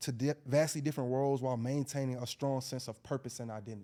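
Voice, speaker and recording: Very fast speech from a man with an Atlanta accent, a medium pitch and a dark, mellow tone, on a very clean recording with a silent background. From Atlanta, US South. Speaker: educator. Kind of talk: casual podcast discussion.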